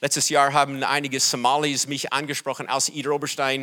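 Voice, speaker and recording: The speaker has an English accent. The tone is bright and sharp. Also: man. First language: English (speaking German). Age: 60s. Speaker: pastor. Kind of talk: sermon. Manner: halting.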